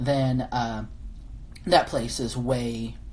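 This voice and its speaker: Audible room echo surrounds the voice. Noticeable background noise is present too. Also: woman. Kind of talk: live-stream viewer Q&A. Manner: halting, many fillers and restarts.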